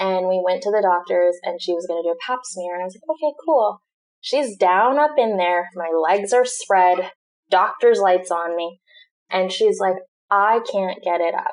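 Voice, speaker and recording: In an American accent, a woman with an unremarkable speaking voice talks at a moderate pace, her medium pitch showing ordinary variation. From Southern California. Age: 20s. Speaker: digital marketing entrepreneur. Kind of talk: casual chat.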